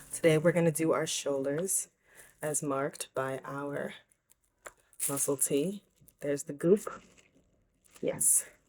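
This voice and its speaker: Long, frequent pauses interrupt speech delivered at a fairly slow pace. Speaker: vlogger. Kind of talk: casual vlog. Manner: animated.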